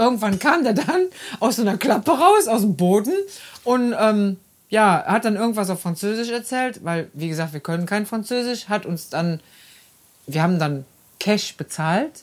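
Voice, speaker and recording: Her intonation lively, a woman speaks at a fairly high pitch and a moderate pace. She leaves long, frequent pauses. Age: 50s. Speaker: podcast host, caretaker. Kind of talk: casual chat. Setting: in a caravan.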